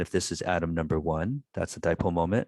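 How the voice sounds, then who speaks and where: A man talks at a fairly quick pace in a very deep, low pitch on a very clean recording with a silent background. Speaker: physics professor. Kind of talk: lecture. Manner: halting, many fillers.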